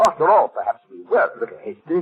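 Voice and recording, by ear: A man's put-on character voice with a husky, rough edge, big pitch swings and a fast pace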